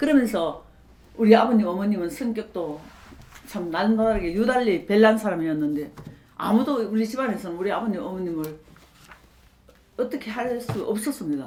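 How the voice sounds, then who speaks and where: A woman speaks at a moderate pace with a fairly high pitch and lively intonation, leaving long, frequent pauses. Her loudness swings widely, and there is noticeable background noise. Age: 70s. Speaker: pastor's wife and nurse. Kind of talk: interview answer.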